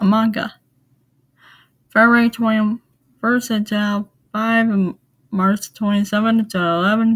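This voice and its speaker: A woman with a fairly high pitch speaks at a fairly slow pace, her voice somewhat breathy. The recording is very clean, with a silent background. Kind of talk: casual talk to camera.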